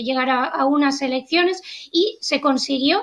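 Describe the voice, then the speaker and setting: A woman speaks with a European Spanish accent at a high pitch. Her pitch varies in an ordinary way. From Spain. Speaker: journalist and political analyst. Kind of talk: interview analysis.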